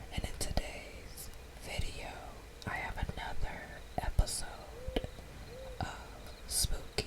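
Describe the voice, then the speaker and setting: A woman whispers at a very slow pace with long, frequent pauses amid noticeable background noise. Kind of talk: casual ASMR intro to camera. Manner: whispered.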